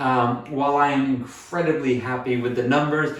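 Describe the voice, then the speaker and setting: Over noticeable background noise and audible room echo, a man with an American accent talks at a moderate pace in a fairly high pitch. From United States. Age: 20s. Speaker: weight loss vlogger. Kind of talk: casual vlog monologue. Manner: filler-heavy, conversational.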